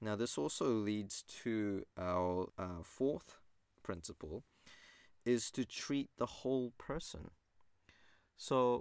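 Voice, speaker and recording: A man with a New Zealand accent speaks very slowly in a fairly low voice with lively intonation, in a very clean recording with a silent background. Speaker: naturopath podcast host. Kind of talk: solo informational monologue.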